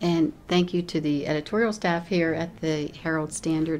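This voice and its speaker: A woman with an unremarkable speaking voice, fairly low pitch, fairly even intonation, a moderate pace, and an American accent. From Connellsville, western Pennsylvania. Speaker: judicial candidate, lawyer. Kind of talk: closing statement at candidate forum.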